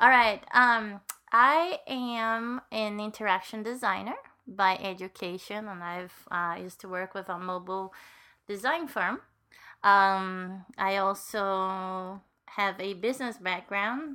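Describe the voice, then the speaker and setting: A woman with a Latin American accent speaks at a very slow pace in a bright, sharp tone, her medium pitch showing ordinary variation. Her loudness swings widely, captured in a very clean recording with a silent background. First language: Spanish. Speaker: co-host, accessibility advocate. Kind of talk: casual chat.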